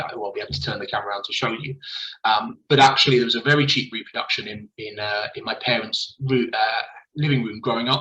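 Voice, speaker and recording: Talking very fast, a man speaks with a southern English accent. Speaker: school principal. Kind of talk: presentation. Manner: halting.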